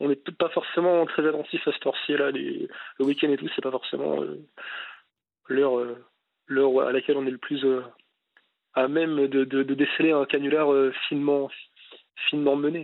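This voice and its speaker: Flat, monotone speech from a man with a fairly high pitch and long, frequent pauses. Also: moderate pace. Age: 20s. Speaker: radio caller. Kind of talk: casual chat. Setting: phone call. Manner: halting.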